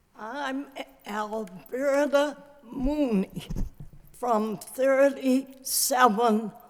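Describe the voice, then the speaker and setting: With an American accent, a woman speaks at a very slow pace in a high voice, leaving long, frequent pauses over noticeable background noise. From Lowell, Massachusetts, US. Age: 80s+. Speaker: resident speaking at public hearing. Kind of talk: public hearing testimony. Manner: articulate.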